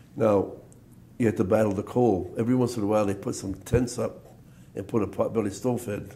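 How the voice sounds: A man speaks at a fairly quick pace with a fairly low pitch and a dark, mellow tone. His intonation stays fairly even, and the room echo is audible.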